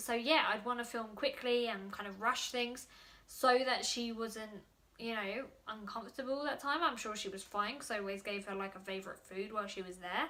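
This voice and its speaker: Noticeable background noise sits under this recording. A woman speaks with ordinary pitch variation. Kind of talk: casual vlog. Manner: fast.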